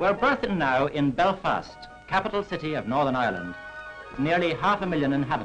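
With clear music in the background, a man talks at a fairly quick pace with lively intonation. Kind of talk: documentary film narration. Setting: vintage 1940s film recording. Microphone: old recording.

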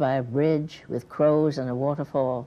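The woman's tone is dark and mellow. She speaks at a very slow pace. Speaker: poet. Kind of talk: poetry reading. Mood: quiet, reflective. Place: studio. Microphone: lapel.

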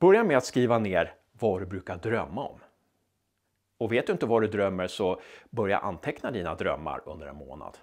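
Against a quiet background, the speech moves at a moderate pace. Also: man. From Sweden. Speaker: novelist and writing coach. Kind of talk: tutorial. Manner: direct, informal, encouraging. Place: studio.

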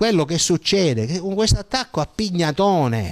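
Against a quiet background, a man's high voice moves through very wide pitch swings. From Sicily, Partinico; Sicily. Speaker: journalist; interviewee, journalist. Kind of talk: interview. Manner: halting, with frequent repetitions and fillers. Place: home room. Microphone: handheld.

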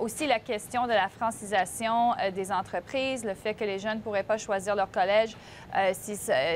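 Light background noise sits behind a woman speaking at a fairly slow pace, her fairly high pitch held in fairly even intonation. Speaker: political commentator. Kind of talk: panel discussion. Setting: remote video link. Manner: halting. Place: studio.

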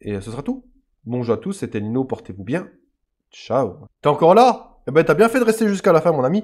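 With vocal fry and a fairly high pitch, a man speaks at a fairly quick pace with very wide pitch swings, big swings in loudness, and long, frequent pauses. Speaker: gaming YouTuber. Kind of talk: casual gameplay commentary. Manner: halting, many hesitations.

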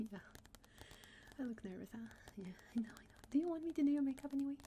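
A woman speaks in a soft-spoken way. Light background noise can be heard. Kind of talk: ASMR roleplay chat. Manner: soft, close, intimate ASMR speech. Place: home room.

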